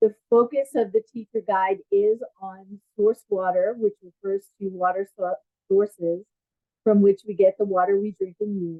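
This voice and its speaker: The pace is moderate, with an American accent. Intonation stays fairly even. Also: woman. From US Northeast (Long Island, New York). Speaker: education program manager and curriculum writer. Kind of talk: webinar presentation. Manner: hesitant, many fillers.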